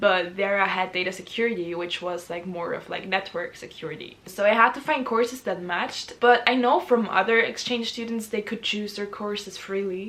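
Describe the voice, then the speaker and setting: Spoken in a German accent at a moderate pace with ordinary pitch variation and hardly any pauses, the voice sits over noticeable background noise. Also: woman, medium pitch for a woman. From Austria. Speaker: university student. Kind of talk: casual talk to camera.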